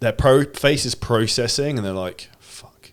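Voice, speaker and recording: The man's pitch moves in an ordinary way as he talks. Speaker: sales coach. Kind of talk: podcast conversation. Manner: fast.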